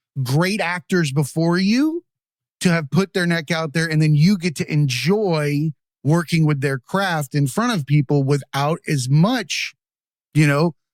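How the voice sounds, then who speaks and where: On a very clean recording with a silent background, a man with an unremarkable speaking voice talks at a fairly slow pace, using a fairly high pitch and ordinary pitch variation. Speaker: podcast host. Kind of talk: casual podcast conversation.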